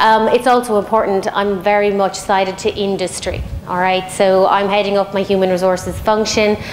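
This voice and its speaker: Over noticeable background noise, a woman with an Irish accent talks at a moderate pace with hardly any pauses and monotone, flat intonation. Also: medium pitch for a woman. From Ireland. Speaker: head of human resources, panelist. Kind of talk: panel debate opening statement. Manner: hesitant, many fillers.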